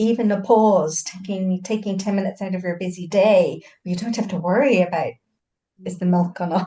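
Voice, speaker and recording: A woman's dark, mellow, somewhat breathy voice, fairly even in intonation and fairly quick in pace. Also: medium pitch for a woman. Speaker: hypnosis practitioner. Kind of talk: casual chat.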